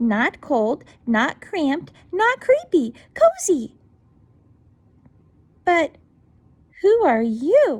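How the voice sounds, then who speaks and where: A woman's squeaky, high put-on character voice, raised and projected, very slow, with very wide pitch swings and long, frequent pauses. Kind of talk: bedtime story. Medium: read story.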